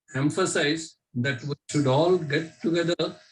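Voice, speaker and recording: A man talks very slowly, his voice somewhat breathy. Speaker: training participant. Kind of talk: online training session sharing. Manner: halting.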